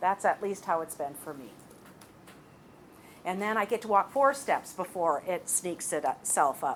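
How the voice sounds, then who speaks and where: Speaking at a medium pitch for a woman with lively intonation and an animated tone, she goes at a fairly slow pace, her loudness swinging widely between long, frequent pauses. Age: 60s. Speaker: college lecturer. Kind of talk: lecture.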